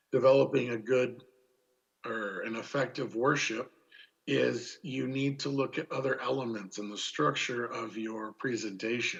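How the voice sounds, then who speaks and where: A man speaks at a medium pitch and a moderate pace, with vocal fry. His pitch variation is ordinary. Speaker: seminar presenter. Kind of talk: lecture. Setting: Zoom meeting. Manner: casual with filler words.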